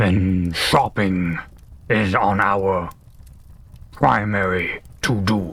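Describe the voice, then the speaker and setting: Growling, put-on character voice from a man, fairly low and monotone, very slow, with long, frequent pauses. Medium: actual play. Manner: formal, reserved.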